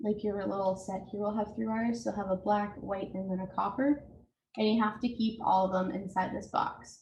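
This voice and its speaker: This woman's voice is somewhat breathy and of medium pitch. She talks at a fairly quick pace with fairly even intonation. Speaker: home repair presenter. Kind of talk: tutorial.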